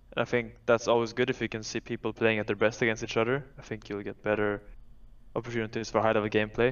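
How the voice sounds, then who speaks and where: A man at a medium pitch, talking very fast in a monotone, flat intonation. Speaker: retired pro esports player turned host. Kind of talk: casual chat. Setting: video call.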